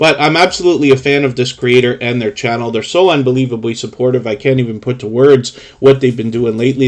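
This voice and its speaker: Speaking very fast with a Canadian accent, a man uses a medium pitch and ordinary pitch variation. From Toronto, Canada. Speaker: YouTube live stream host. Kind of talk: live stream channel review chat.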